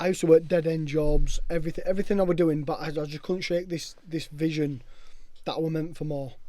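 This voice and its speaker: Speaking at a very fast pace with a Yorkshire accent, a man has a fairly high pitch, a dark, mellow tone and a monotone, flat intonation. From northern England, Castleford, West Yorkshire. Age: 30s. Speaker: sobriety movement founder. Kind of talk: casual chat. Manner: emphatic.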